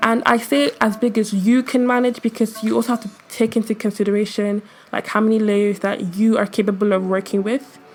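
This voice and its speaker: Over music in the background, a woman talks at a fairly quick pace with hardly any pauses. Her pitch is fairly high, with fairly even intonation. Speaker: digital artist and tutorial youtuber. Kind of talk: tutorial. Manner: casual.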